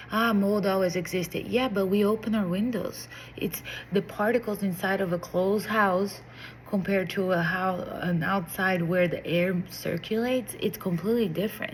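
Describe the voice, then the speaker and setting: Somewhat breathy, a woman of medium pitch speaks in a Portuguese accent with fairly even intonation. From Brazil. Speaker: vlogger. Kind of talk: casual monologue to camera. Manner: hesitant, with fillers and restarts.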